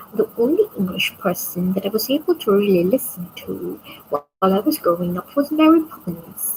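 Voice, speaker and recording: A woman in a Visayan accent, medium in pitch, at a moderate pace with very wide pitch swings. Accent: Bisaya. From Philippines. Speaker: vlogger. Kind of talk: casual late-night monologue. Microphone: built-in mic, external mic not yet arrived.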